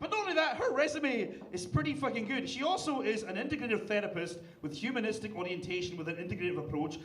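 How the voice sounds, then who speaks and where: With music in the background and audible room echo, a man in a Scottish accent talks at a very fast pace, his high pitch making very wide swings. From Scotland. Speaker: comedian. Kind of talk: roast battle stand-up. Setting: stage with audience.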